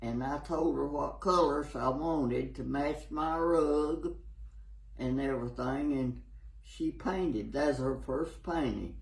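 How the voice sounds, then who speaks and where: With a Tennessee accent, the speech moves very slowly amid noticeable background noise and audible room echo. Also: man. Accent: Southern US (Tennessee). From US South, Tennessee. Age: 80s+. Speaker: elderly local resident. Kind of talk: interview. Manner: halting.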